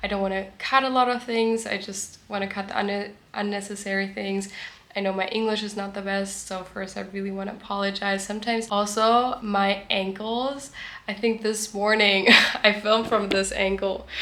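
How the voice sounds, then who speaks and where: A woman speaks at a moderate pace with a German accent, her intonation monotone and flat. Noticeable background noise and audible room echo surround her. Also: medium pitch for a woman. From Germany. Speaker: vlogger. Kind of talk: casual vlog talk to camera. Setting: at the beach.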